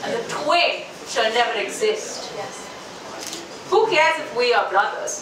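In a room with audible echo and noticeable background noise, a woman speaks very slowly in a raised, projected voice. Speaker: open mic poet. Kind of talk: spoken word poetry performance. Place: bar.

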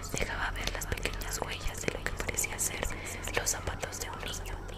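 A woman's voice at a moderate pace. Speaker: ASMR storyteller. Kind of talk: horror story narration for an ASMR collaboration. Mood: eerie, suspenseful. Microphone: earbuds.

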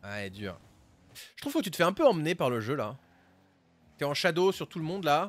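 With long, frequent pauses, a man at a fairly high pitch uses vocal fry, very wide pitch swings and big swings in loudness. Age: 30s. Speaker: Rocket League streamer and coach. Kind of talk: casual live stream commentary and coaching.

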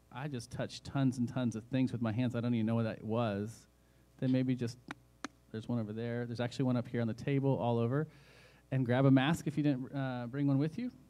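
With a dark, mellow tone, a man speaks very fast in a monotone, flat delivery. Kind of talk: church announcements. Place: church. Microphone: studio mic.

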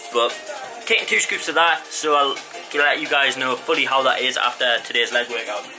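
Clear music plays in the background as a man speaks. His pace is moderate and his pitch varies in an ordinary way. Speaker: fitness vlogger. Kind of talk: casual vlog chat. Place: garage. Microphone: phone near.

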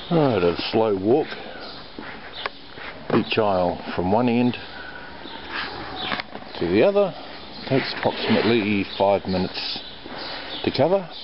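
Amid noticeable background noise, a man speaks at a fairly slow pace. He takes long, frequent pauses. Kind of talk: casual vlog chat. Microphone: phone near.

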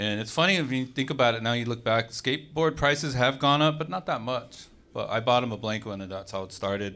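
With an American accent, a man talks at a moderate pace in a bright, sharp tone with ordinary pitch variation. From Arizona. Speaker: skateboard brand founder. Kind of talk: panel discussion. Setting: stage with audience. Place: hall. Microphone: handheld.

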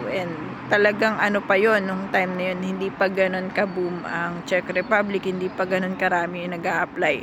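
Against noticeable background noise, a woman speaks at a moderate pace in a monotone, flat intonation. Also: medium pitch for a woman. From Philippines. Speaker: overseas worker vlogger. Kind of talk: tutorial. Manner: casual.

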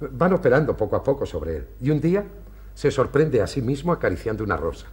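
The delivery is theatrical in tone and moves at a fairly quick pace. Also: man. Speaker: clinic director doctor character. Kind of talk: period TV stage play, theatrical declamation. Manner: formal, measured, courteous, theatrical diction. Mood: warm, explanatory, animated. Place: studio. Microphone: camera far.

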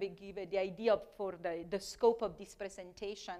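Against a quiet background, a woman with an Italian accent talks at a moderate pace with fairly even intonation. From Italy. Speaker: chemistry professor. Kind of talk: lecture. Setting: stage with audience. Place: classroom. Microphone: lapel.

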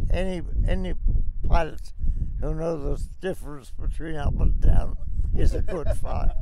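Loud background noise runs beneath speech at a moderate pace, the sound itself dry with no echo. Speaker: war veteran. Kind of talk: interview answer. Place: plane. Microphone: handheld.

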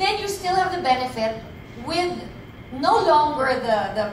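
With lively intonation and a high pitch, a woman speaks fairly slowly amid audible room echo and noticeable background noise. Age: 50s. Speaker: businesswoman. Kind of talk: sales pitch. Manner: animated. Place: hall. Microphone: pa.

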